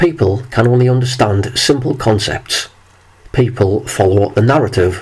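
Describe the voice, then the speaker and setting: A man with a medium pitch and a somewhat breathy voice speaks at a moderate pace, with ordinary pitch variation and very even loudness. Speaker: video commentator. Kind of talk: monologue.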